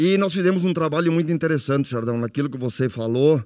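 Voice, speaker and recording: At a fairly quick pace, a man with a plain, everyday voice speaks in a fairly high pitch with ordinary pitch variation. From Nova Palma, Rio Grande do Sul, Brazil. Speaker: former cooperative president. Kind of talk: testimony.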